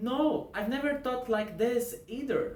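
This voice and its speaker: In a room with audible echo, a man with a Portuguese accent speaks at a fairly slow pace. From Brazil. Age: 20s. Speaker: religious educator. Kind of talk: scripted narration.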